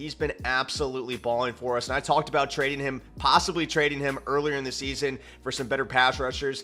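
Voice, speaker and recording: Over music in the background, a man talks at a very fast pace with hardly any pauses, his fairly high voice monotone and flat. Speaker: gaming YouTuber. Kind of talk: gameplay commentary. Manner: low energy.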